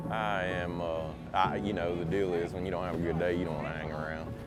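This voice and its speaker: A man with a Louisiana accent speaks at a fairly quick pace in a very deep, low pitch. Audible room echo and noticeable background noise surround him. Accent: Louisiana Southern US. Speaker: professional bass angler. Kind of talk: casual interview.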